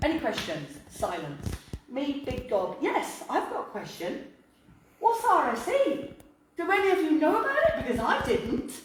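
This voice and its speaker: With noticeable background noise and audible room echo, a woman speaks at a moderate pace and a high pitch, her voice swinging very widely. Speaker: local councillor. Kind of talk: public talk.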